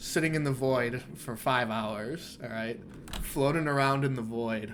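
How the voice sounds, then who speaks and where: With an animated tone, a man speaks at a fairly high pitch and a moderate pace. His pitch varies in an ordinary way, and there is audible room echo. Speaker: game developer streamer. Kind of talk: live gameplay stream. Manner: casual and animated.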